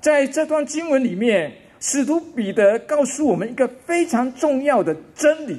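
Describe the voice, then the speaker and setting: A man at a very slow pace. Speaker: pastor. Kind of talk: wedding sermon. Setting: wedding ceremony. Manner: formal; earnest. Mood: earnest, calm conviction. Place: hall. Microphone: podium.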